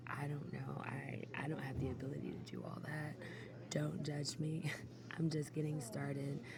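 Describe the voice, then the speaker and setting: A soft-spoken voice goes at a fairly slow pace over noticeable background noise. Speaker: ASMR creator. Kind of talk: soft spoken ramble. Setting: airport, background ambience.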